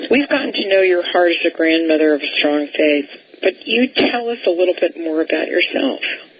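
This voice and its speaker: With noticeable background noise, a woman speaks at a fairly quick pace. Her fairly low pitch swings very widely. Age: 70s. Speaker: radio talk show host. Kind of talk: radio interview.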